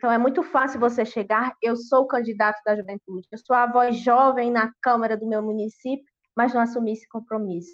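A plain, everyday voice, fairly quick in tempo and fairly even in intonation. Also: woman, fairly high pitch for a woman. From Brazil, interior of Ceará (sertão). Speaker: rural trade union youth leader. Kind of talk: online panel debate. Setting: online live stream.

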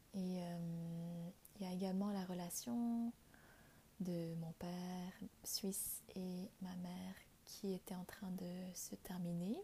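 A woman's somewhat breathy, medium-pitched voice with a dark, mellow tone, very slow and full of long, frequent pauses. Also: fairly even intonation. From Vietnam. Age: 20s. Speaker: spiritual podcast host. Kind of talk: personal testimony. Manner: hesitant, with frequent fillers.

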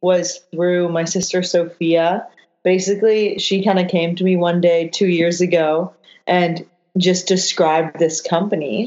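A woman with a Canadian accent speaks in a normal speaking voice at a medium pitch, with fairly even intonation and a fairly slow pace. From Canada. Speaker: yacht chef and hostess. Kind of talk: casual chat.

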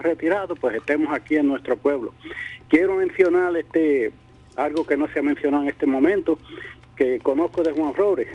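With music in the background, the speech moves at a fairly quick pace with ordinary pitch variation. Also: man. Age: old. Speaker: retired politician. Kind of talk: radio interview. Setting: radio studio.

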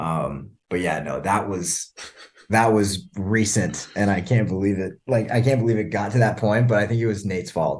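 A man with a normal speaking voice talks at a moderate pace in a fairly low pitch, with ordinary pitch variation. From Canada. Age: 20s. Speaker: podcast guest. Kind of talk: casual chat. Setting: video call.

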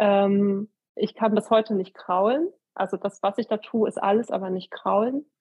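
A woman speaks in a plain, everyday voice at a medium pitch. Her intonation is fairly even and her pace moderate. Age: 30s. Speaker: amateur long-distance cyclist. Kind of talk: casual interview.

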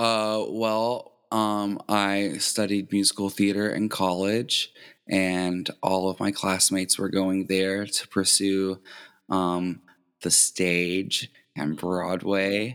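Speaking very slowly, a man with an American accent keeps a fairly low pitch, a monotone, flat intonation and very even loudness. The recording is very clean, with a silent background. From southern Indiana near Louisville, Kentucky. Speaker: drag queen. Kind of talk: casual interview.

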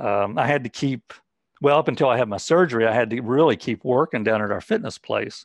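Someone with an American accent talks at a fairly quick pace in a normal speaking voice, with ordinary pitch variation, a dry, close sound with no echo and a quiet background. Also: man. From West Virginia. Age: 60s. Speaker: cancer patient and fitness instructor. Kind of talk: interview testimony.

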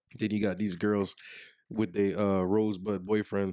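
A man speaks at a fairly slow pace in an unremarkable speaking voice. His pitch is fairly low and his intonation fairly even. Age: 30s. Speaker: podcast co-host. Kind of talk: casual chat. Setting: video recording.

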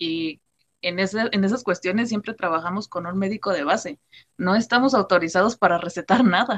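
A woman's plain, everyday voice, medium in pitch with ordinary pitch variation, at a moderate pace in a dry, close sound with no echo. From Mexico, Temixco, Morelos. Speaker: nutrition student. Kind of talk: casual chat.

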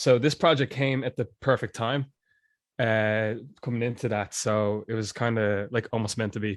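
With a Dublin accent, the speaker keeps a moderate pace and fairly even intonation in a very clean recording with a silent background and a dry, close sound with no echo. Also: man, medium pitch for a man. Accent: Irish, Dublin. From Dublin, Ireland (Glasnevin). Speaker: musician. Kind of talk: casual chat.

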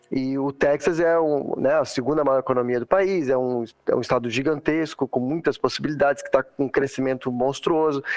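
Music plays in the background as a man talks with fairly even intonation. The sound is dry and close, with no echo. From southern Brazil, Santa Catarina. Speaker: airline pilot. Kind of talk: casual interview.

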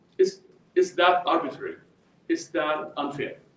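A man in an Arabic accent at a moderate pace. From Jordan. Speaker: professor. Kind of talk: lecture. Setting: stage with audience.

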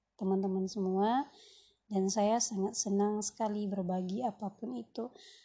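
In a quiet background, a woman speaks at a moderate pace in a dark, mellow, somewhat breathy tone with fairly even intonation. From West Sumatra (Minang, Pariaman family). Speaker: podcaster, housewife and writer. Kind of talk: solo podcast introduction. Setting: recorded late at night.

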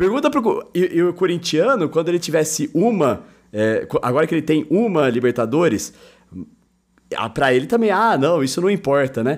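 With very wide pitch swings, a man speaks at a moderate pace in a fairly high pitch. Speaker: football podcast host. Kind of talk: casual chat. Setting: online call.

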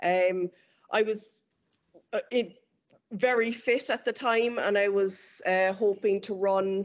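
In an Irish accent, a woman speaks with fairly even intonation over a quiet background. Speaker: amateur runner and former tennis player. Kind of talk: interview.

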